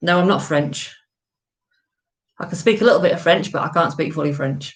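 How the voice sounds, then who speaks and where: A woman's fairly low voice with an English accent, ordinary pitch variation and a fairly quick pace. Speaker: live-stream vlogger, golfer. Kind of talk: casual chat. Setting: home live stream. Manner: loud.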